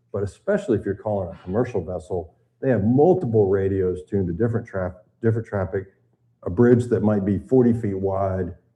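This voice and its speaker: Somewhat breathy and fairly low in pitch, a man with an American accent talks at a fairly quick pace with fairly even intonation. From US South, Tennessee. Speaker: retired naval officer and boating instructor. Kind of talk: seminar lecture. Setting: seminar room with live audience and live stream.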